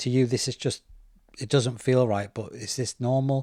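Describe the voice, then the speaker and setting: In a very clean recording with a silent background, a man speaks at a medium pitch and moderate pace, somewhat breathy, with fairly even intonation. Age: 40s. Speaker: podcast host. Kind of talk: interview.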